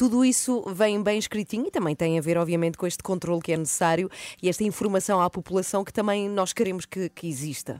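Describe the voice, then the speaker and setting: Medium in pitch, a woman speaks at a very fast pace in a dry, close sound with no echo. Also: ordinary pitch variation. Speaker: morning radio host. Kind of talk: morning radio show. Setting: radio studio.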